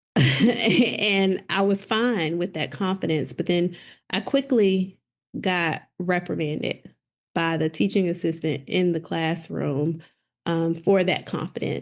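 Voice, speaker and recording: A woman with a Southern US accent, fairly low in pitch, at a very slow pace with ordinary pitch variation, over a quiet background. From South Mississippi. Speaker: educational leader, poet. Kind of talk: interview answer.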